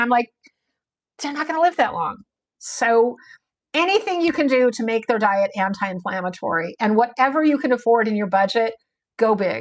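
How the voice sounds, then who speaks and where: Her pitch high and her tone animated, a woman speaks at a fairly quick pace with lively intonation. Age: 60s. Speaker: dog breeder. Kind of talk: livestream talk. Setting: live stream.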